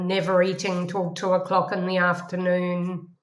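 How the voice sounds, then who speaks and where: A woman's medium-pitched voice carries through a room with audible echo. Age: 60s. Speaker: professor. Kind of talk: interview.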